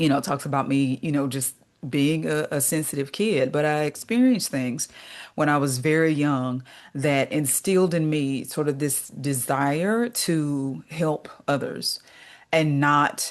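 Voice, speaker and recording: Very deep, low-pitched speech from a woman with ordinary pitch variation at a fairly slow pace, against a quiet background. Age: 40s. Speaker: recovery coach. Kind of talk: interview. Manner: hesitant, many fillers.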